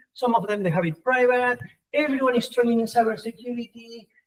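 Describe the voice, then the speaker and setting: A man with an extremely high pitch, an animated tone, ordinary pitch variation and a non-native accent. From Argentina. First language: Spanish. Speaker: professor. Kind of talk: conference talk.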